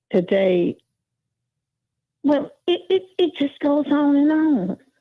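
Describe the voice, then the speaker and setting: A woman with an Alabama accent speaks, her pitch swinging very widely. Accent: Southern US (Alabama). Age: 70s. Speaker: caller. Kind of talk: casual chat. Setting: phone call. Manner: halting.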